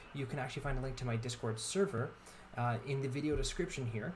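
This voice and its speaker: A man talks at a fairly quick pace and a medium pitch. Audible room echo and noticeable background noise accompany him. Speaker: gaming YouTuber and streamer. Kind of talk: channel announcement to viewers; casual gaming commentary. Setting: live stream. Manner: stuttering, halting.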